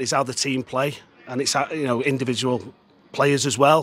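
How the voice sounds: Speaking at a fairly quick pace, a man keeps a medium pitch with little movement, his tone bright and sharp with a slightly husky edge.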